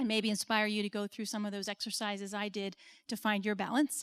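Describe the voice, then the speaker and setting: A woman with an American accent speaks fairly quickly in a normal speaking voice, fairly high in pitch, with a dry, close sound with no echo and a very clean recording with a silent background. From United States. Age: 40s. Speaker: business consultant and speaker. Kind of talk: conference talk.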